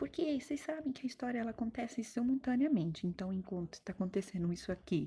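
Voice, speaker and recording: High-pitched with a dark, mellow tone, a woman speaks at a fairly quick pace with lively intonation. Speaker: teacher. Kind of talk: recorded online history lesson. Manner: fast; animated, colloquial.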